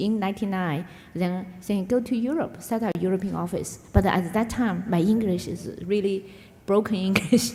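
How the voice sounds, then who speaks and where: A woman with a Chinese accent talks at a moderate pace in a medium pitch, with audible room echo around her voice. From China, Yunnan. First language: Mandarin Chinese. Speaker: business executive. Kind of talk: onstage interview. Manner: halting, many fillers.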